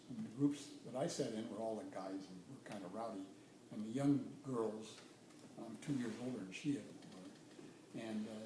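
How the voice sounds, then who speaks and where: Amid audible room echo, a man talks at a moderate pace with lively intonation. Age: 70s. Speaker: retired nuclear engineer. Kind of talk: casual interview. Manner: hesitant, many fillers.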